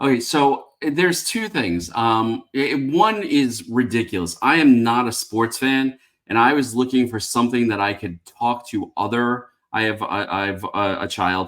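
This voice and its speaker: A man's medium-pitched voice in a New York accent, at a moderate pace with ordinary pitch variation. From New York City (Bronx). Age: 50s. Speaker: beer reviewer. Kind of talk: casual chat.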